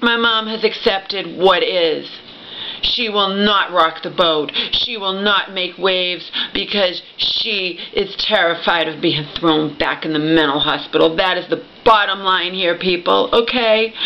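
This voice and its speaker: At a fairly slow pace, a woman talks with fairly even intonation over light background noise. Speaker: vlogger telling a family story. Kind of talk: emotional personal vlog rant. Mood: upset, aggrieved, pleading. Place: home room. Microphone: webcam.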